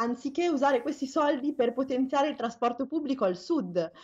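A woman talks fairly quickly, with ordinary pitch variation. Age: 30s. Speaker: climate activist. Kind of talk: interview. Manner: halting.

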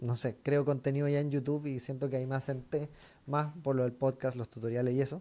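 A man speaks at a fairly quick pace in a dark, mellow tone. His intonation stays monotone and flat. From Chile. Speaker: podcast host and DJ; podcast host, DJ. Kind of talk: casual interview. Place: home room. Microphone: studio mic.

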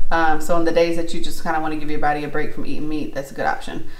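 A woman talks with ordinary pitch variation, and audible room echo surrounds her voice. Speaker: vlogger. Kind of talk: casual vlog chat. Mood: warm, relaxed. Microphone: phone near.

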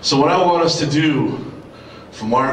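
A man speaks with ordinary pitch variation amid audible room echo and light background noise. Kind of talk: ceremonial speech. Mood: earnest, heartfelt, patriotic. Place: hall.

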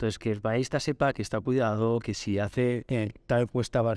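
A man's dark, mellow tone at a fairly quick pace with fairly even intonation, in a dry sound with no echo and a quiet background. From Spain, Barcelona; Catalonia, Spain. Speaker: market research company director; podcast guest. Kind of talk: interview. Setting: conference venue. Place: studio. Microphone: studio mic.

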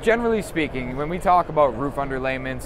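A man speaks with lively intonation, and background noise is clearly heard.

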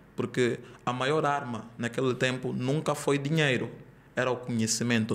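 Monotone, flat intonation marks this man's speech at medium pitch. He keeps a moderate pace. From Angola. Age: 20s. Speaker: digital marketing entrepreneur; podcast guest. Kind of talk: podcast interview. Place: studio. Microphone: studio mic.

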